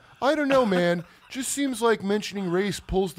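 With a New Jersey accent, a man talks at a fairly quick pace with very wide pitch swings on a very clean recording with a silent background. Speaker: comedian podcast host. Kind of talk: casual chat. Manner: animated.

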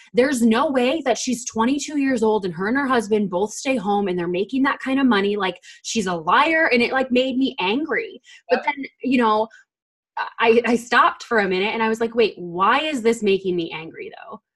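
A woman with a normal speaking voice talks at a moderate pace in a fairly high pitch with lively intonation. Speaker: podcast host. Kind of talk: casual chat.

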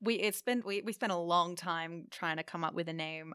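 Pitch rises and falls in a typical way. The voice carries an Australian accent. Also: woman. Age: 20s. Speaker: studio owner. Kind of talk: casual interview. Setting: studio.

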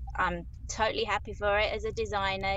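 A woman speaks with a Southeast London accent. Her pace is moderate. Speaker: graphic designer. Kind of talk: casual interview.

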